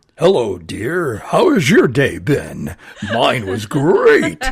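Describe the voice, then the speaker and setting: Using a put-on character voice, a man speaks at medium pitch. His pace is very slow. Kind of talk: announcer-style. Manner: phony, polished delivery.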